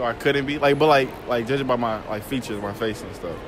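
Clear music plays behind a man of medium pitch who speaks at a fairly quick pace. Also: ordinary pitch variation.

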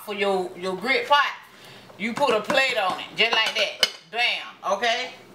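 A woman's fairly slow speech with ordinary pitch variation and noticeable background noise. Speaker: home cook vlogger. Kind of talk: casual cooking tutorial chat. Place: kitchen. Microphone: camera far.

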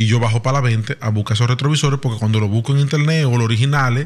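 This man's medium-pitched voice shows ordinary pitch variation. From Dominican Republic. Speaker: podcast host; podcast guest. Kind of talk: casual chat. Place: studio. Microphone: studio mic.

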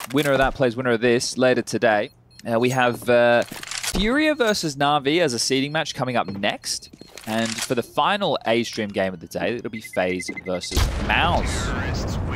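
There is noticeable background noise as a man speaks at a medium pitch with lively intonation. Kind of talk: esports commentary. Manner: rapid-fire, play-by-play, clipped and fluent.

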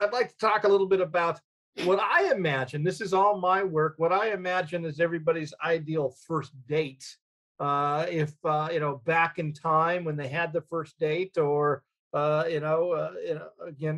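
Speech at a moderate pace comes through over a quiet background. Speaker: round table host. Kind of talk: light-hearted panel introduction. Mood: playful, joking introductions. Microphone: video call.

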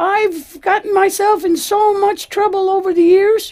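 A female-sounding, cartoonish character voice at an extremely high pitch moves along at a moderate pace. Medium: puppet show. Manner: earnest, gushing.

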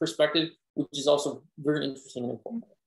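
Here a man talks with fairly even intonation. His pitch is fairly high. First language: not English. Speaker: Bible study presenter. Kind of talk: Bible study discussion. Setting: video call.

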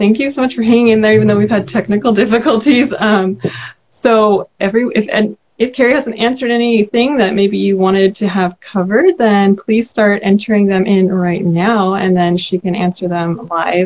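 A woman with an American accent talks at a moderate pace, her medium pitch showing ordinary variation. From California. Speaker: book club host and vlogger. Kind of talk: casual live-stream interview. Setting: live stream video call.

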